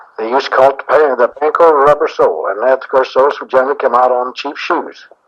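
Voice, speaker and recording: Speaking with an American accent, a man talks at a very fast pace. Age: 60s. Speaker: shoe store owner. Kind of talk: interview answer. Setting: cassette tape recording.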